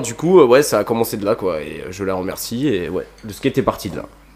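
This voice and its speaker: Lively intonation from a man, set amid noticeable background noise. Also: hardly any pauses, big swings in loudness. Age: 20s. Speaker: skate shop employee and skateboarder. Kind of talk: casual chat.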